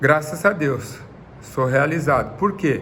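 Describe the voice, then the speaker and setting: A man speaks at a fairly high pitch and a very slow pace. Audible room echo surrounds his voice. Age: 60s. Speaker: retired footballer. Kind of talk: interview.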